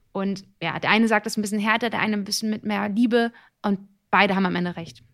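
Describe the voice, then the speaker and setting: A woman speaks at a fairly quick pace with a medium pitch. The recording is very clean, with a silent background. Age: 30s. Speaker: actress and TV presenter. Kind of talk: casual interview. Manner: animated.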